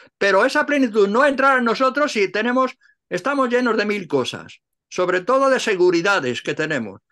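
Against a quiet background, a man with a high pitch speaks at a fairly quick pace in a raised, projected voice, bright and sharp in tone, with lively intonation. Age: 80s+. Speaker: Cistercian monk and translator; interviewee. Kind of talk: interview; interview answer. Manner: halting. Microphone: video call.

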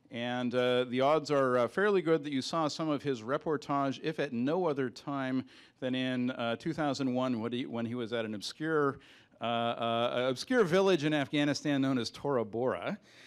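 Against a quiet background, a man's pitch rises and falls in an ordinary way. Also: moderate pace. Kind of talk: introduction speech. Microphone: handheld.

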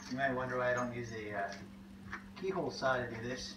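A man at a moderate pace, over noticeable background noise. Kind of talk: tutorial. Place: garage. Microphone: camera far.

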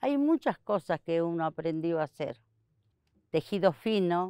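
A woman speaks at a fairly slow pace, her pitch fairly low and her tone dark and mellow. The sound is dry with no echo, against a quiet background. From Argentina, Santiago del Estero. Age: 60s. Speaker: basket weaver. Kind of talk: interview testimony. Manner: halting. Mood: calm, reflective. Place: garden.

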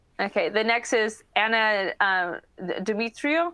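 A bright, sharp tone comes through against a quiet background. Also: woman. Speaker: panel moderator. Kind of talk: moderating online panel discussion. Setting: video call. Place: home room. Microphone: video call.

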